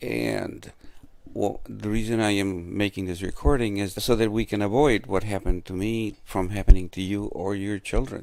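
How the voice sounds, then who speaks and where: A man speaks in a normal speaking voice at a moderate pace. His pitch is fairly low, and the recording is very clean with a silent background. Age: 60s. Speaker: man telling of his arrest. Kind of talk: testimony. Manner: earnest.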